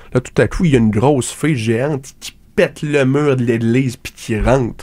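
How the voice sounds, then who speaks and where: In a Quebec accent, a man talks at a moderate pace with medium pitch, ordinary pitch variation and a dark, mellow tone. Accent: Québécois French. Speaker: radio comedy host. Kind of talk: absurd comedic monologue. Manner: halting, many fillers.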